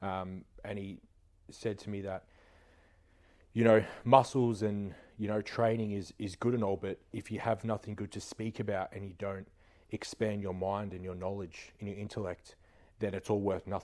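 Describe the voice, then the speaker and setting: Monotone, flat intonation from a man at a fairly low pitch, with long, frequent pauses, on a very clean recording with a silent background. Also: moderate pace. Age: 20s. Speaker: gym owner and online coach. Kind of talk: casual chat.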